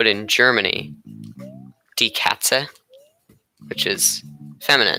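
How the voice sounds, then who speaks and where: The speaker has an American accent. Music plays in the background. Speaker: gaming streamer. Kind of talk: casual gameplay commentary.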